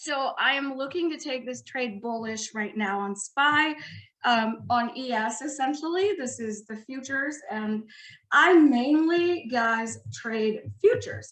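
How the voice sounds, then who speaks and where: Her voice high, a woman speaks with lively intonation. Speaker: trader. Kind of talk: webinar tutorial. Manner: animated.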